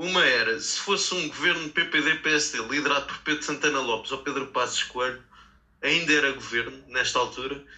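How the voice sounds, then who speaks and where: An unremarkable speaking voice, its intonation fairly level throughout. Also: man, fairly high pitch for a man, moderate pace. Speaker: local politician and podcast panelist. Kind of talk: interview.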